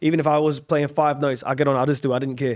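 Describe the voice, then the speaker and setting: On a very clean recording with a silent background, a man speaks very fast in an Australian accent. His pitch is fairly high and his intonation fairly even. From Australia, Brisbane. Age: 20s. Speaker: singer-songwriter. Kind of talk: casual chat.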